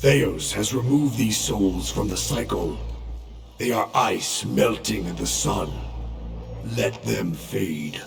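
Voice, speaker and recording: A cartoonish character voice moves at a fairly slow pace over clear background noise. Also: man. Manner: slow, solemn, imposing.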